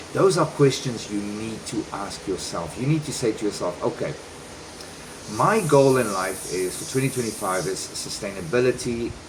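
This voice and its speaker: A man with a non-native accent, medium pitch and lively intonation at a moderate pace, over noticeable background noise. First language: not Spanish. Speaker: vlogger and relocation service provider. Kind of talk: casual vlog talk.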